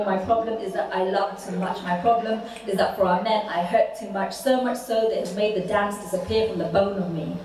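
A woman is speaking in a room with audible echo. Light background noise can be heard. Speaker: spoken word poet. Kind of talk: poetry performance. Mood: impassioned, rhythmic delivery. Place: hall.

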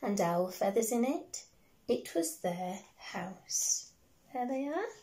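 A woman's fairly high, somewhat breathy voice, gentle and warm yet dark and mellow in tone, at a fairly slow pace against a quiet background. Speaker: primary school teacher. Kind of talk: bedtime story reading aloud to young children, with a chatty intro. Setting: video recorded at home. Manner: gentle, warm and sing-song, with slow, expressive pacing and character voices; animated and encouraging, speaking directly to small children. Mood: gentle, warm. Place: home room. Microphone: phone near.

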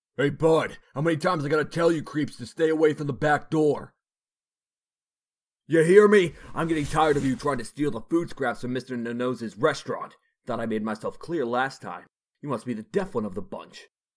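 In a put-on character voice, a man growls at a fairly quick pace, his fairly high pitch rising and falling with lively intonation. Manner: aggressive, bullying, tough-guy slang.

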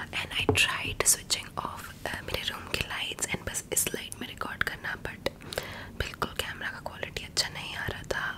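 Whispered female speech at a moderate speed. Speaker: ASMR content creator. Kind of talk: ASMR whispered rambling to camera. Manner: whispered, soft, intimate. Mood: warm, friendly. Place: home room. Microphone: studio mic.

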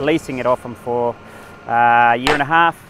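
Light background noise accompanies a man whose voice has a dry sound with no echo. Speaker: fencing contractor. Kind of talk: interview answer. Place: farm machine.

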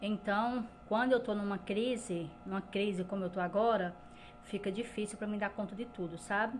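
A woman speaks with a somewhat breathy voice and fairly even intonation over light background noise. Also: moderate pace. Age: 40s. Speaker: lifestyle vlogger. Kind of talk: casual vlog talk to camera. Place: kitchen.

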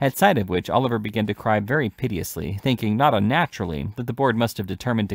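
The pitch varies ordinarily as the speaker reads aloud in a natural voice.

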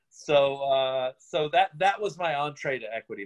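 Over a quiet background, a man with an American accent speaks at a fairly high pitch. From Virginia, Richmond; Virginia. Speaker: playwright and director; interviewee. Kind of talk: interview. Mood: relaxed, reflective. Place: home room. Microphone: phone near.

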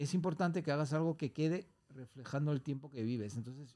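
A man with a fairly high pitch has a dark, mellow tone. He speaks at a fairly quick pace with ordinary pitch variation. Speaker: Olympic skier and singer; podcast guest. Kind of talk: podcast interview. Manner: halting, many repetitions. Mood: warm, reflective. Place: studio. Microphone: studio mic.

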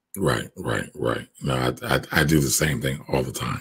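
A man speaks with vocal fry. Light background noise runs underneath. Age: 40s. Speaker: podcast host. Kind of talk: interview. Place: home room. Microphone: studio mic.

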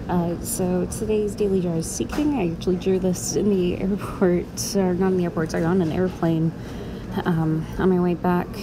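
Amid noticeable background noise, a woman with a fairly low pitch speaks at a moderate pace in a fairly even intonation. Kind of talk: casual vlog chat. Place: station.

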